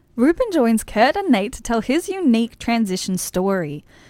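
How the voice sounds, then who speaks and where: In a very clean recording with a silent background, a woman with an Australian accent speaks at a moderate pace in a fairly high pitch with very wide pitch swings. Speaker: radio presenter. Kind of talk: radio presenting.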